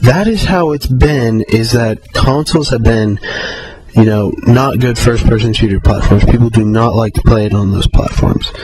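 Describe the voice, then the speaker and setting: Music plays in the background as a man talks at a medium pitch. His pace is moderate, with ordinary pitch variation. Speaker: video blogger. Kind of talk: video response monologue. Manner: hesitant, many fillers.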